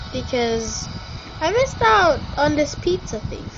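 A woman speaks at a high pitch and a fairly slow pace. Music plays in the background. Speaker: gamer. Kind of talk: casual gameplay commentary. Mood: playful, joking. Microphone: phone near.

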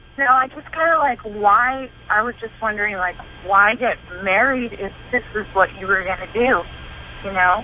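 Over noticeable background noise, a woman speaks at a moderate pace and fairly high pitch, her loudness swinging widely. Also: ordinary pitch variation. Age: 20s. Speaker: caller. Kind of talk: call-in radio advice. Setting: phone call.

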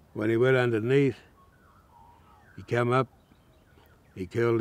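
A man at a moderate pace, the sound dry with no echo. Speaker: elder storyteller. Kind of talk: traditional storytelling. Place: waterside.

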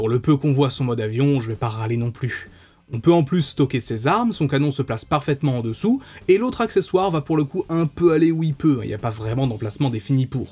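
Somewhat breathy and fairly quick, a man speaks with lively intonation. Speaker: toy reviewer. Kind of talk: product review commentary.

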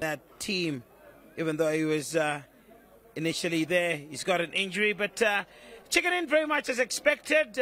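A man's raised, projected voice rings out bright and sharp, animated, with very wide pitch swings. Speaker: football match commentator. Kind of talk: live sports commentary. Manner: animated, excitable, rising to shouts on chances and goals.

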